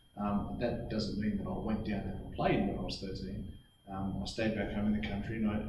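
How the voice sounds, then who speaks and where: Speaking with an Australian accent at a moderate pace, a man with a fairly low pitch is heard against audible room echo. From Australia, New South Wales. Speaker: former rugby league player, mental health speaker. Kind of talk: motivational talk to students. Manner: halting, repeats words.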